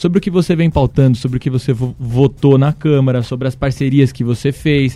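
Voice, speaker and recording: A man with a dark, mellow tone talks at a fairly quick pace and medium pitch. His intonation is fairly even, with hardly any pauses. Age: 20s. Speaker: city council candidate. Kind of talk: radio interview. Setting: radio studio. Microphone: was too far from the mic.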